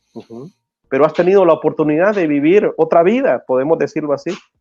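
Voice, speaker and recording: A man's fairly high voice has lively intonation and a moderate pace, with music in the background. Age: 40s. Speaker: Salvadoran immigrant guest. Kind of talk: live stream interview.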